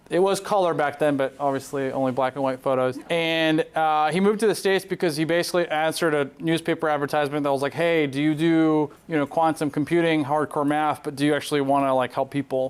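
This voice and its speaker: A Southern California accent at a very fast pace with hardly any pauses, very even loudness and fairly even intonation. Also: man, fairly high pitch for a man. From Southern California (born in Poland). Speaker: neurosurgeon. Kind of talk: conference presentation.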